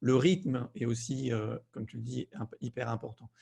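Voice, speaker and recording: The voice is somewhat breathy and moves at a fairly slow pace. Its pitch variation is ordinary. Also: man. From southern France. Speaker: fear-release coach. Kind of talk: conversational interview.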